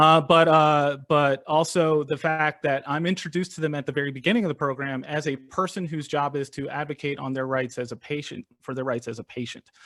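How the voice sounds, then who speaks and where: With an American accent, a man speaks at a fairly high pitch and fairly even intonation in a very clean recording with a silent background. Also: fairly quick pace. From US East Coast. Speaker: patient advocate. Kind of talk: panel presentation. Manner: fast.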